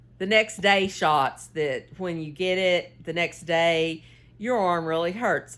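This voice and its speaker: Speaking very slowly, a woman keeps to a medium pitch. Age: 60s. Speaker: knitting and cooking vlogger. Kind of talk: casual chat while knitting. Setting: home, filming on a tripod. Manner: rambling, halting with fillers.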